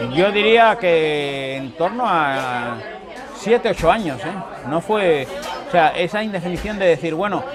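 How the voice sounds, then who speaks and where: Lively intonation marks the fairly slow speech, heard with audible room echo and crowd noise in the background. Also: man, high pitch for a man. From Cuba. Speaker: political refugee. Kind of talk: interview.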